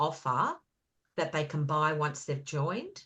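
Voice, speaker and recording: A woman speaks with an Australian accent. Her pitch is very deep and low. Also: quiet background. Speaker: beauty business consultant, guest speaker. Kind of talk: online business presentation. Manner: loud; animated.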